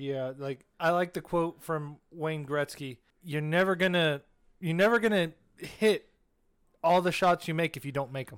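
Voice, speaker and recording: In a very clean recording with a silent background, a man with an unremarkable speaking voice talks at a fairly high pitch and moderate pace, with big swings in loudness. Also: ordinary pitch variation. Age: young. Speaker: podcast co-host. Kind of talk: casual chat.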